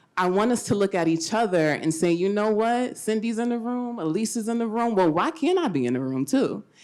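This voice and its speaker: A woman talks loudly at a fairly quick pace with hardly any pauses. Her medium-pitched voice swings very widely up and down. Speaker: mental health advocate. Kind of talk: panel discussion.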